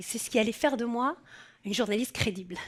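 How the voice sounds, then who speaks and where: Ordinary pitch variation in a southern French accent. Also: woman. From southern France. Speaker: journalist. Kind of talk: personal testimony. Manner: casual, conversational.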